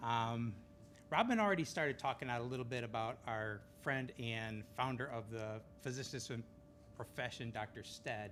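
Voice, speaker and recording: With fairly even intonation, a man talks at a medium pitch. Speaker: physician. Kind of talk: ceremony speech. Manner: fast; casual.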